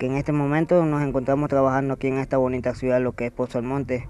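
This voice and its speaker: A man's medium-pitched voice, dark and mellow in tone, monotone and flat, at a very fast pace with a dry sound and no echo. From Panama. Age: 30s. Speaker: circus acrobat. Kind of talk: news interview. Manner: halting. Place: street. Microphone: handheld.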